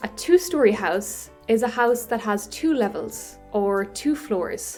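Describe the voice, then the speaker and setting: A woman's fairly high voice in an Irish accent, very slow, with lively intonation and music in the background. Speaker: English teacher. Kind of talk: educational podcast for English learners. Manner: slow, clear.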